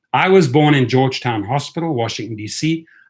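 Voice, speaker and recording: Somewhat breathy, a man with a South African accent talks at a fairly quick pace with ordinary pitch variation. The recording is very clean, with a silent background. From South Africa (and Europe), moving around. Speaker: rideshare driver and YouTuber. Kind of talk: live stream commentary. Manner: animated.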